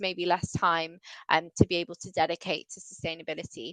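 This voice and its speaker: A woman with an English accent and a bright, sharp tone speaks at a moderate pace, the sound dry and close with no echo. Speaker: sustainability consultant. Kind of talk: webinar presentation. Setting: video call.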